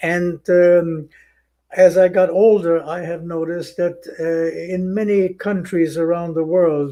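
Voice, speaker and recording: Very slow in pace, a man with a German accent speaks at a high pitch in a dark, mellow tone. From Germany. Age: 90s. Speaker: Holocaust survivor. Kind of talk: testimony. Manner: halting.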